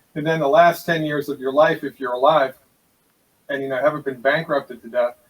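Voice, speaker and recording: Using a plain, everyday voice, a man talks quite quickly at a fairly high pitch with fairly even intonation. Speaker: naturopathic doctor. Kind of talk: interview.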